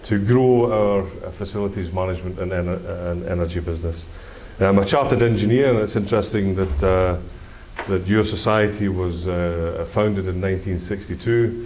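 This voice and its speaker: Audible room echo surrounds the speaker, whose pace is moderate. The voice comes in a Scottish accent with fairly even intonation. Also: man, fairly low pitch for a man. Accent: Scottish, can be difficult to follow. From Scotland. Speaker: engineer. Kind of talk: conference presentation. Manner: hesitant, many fillers.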